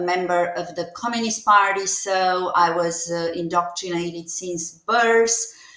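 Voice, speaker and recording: A woman with a Romanian accent speaks at a fairly slow pace with hardly any pauses, her medium-pitched voice keeping fairly even intonation. Audible room echo and noticeable background noise fill the recording. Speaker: nurse practitioner and former diplomat. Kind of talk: interview testimony. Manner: halting, many fillers.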